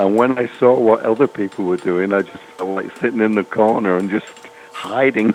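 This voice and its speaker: Over noticeable background noise, a man speaks at a moderate pace, his fairly low pitch kept to fairly even intonation. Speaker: veteran farrier and former competition champion. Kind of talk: recorded podcast interview, storytelling about his career.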